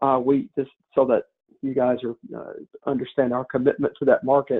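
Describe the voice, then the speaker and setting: This man talks at a fairly quick pace in a Southern US accent. His loudness swings widely. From US South. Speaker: company partner. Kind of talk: business webinar presentation. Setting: webinar. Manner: halting, many fillers and restarts.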